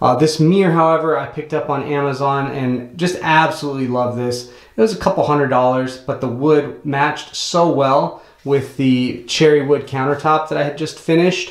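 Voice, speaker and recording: A man at a moderate pace with hardly any pauses and fairly even intonation, in a quiet background with audible room echo. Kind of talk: tutorial. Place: bathroom. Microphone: phone near.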